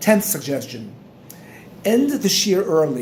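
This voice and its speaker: Over noticeable background noise, a man with a high voice speaks at a moderate pace. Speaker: Torah teacher. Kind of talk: instructional talk. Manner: halting.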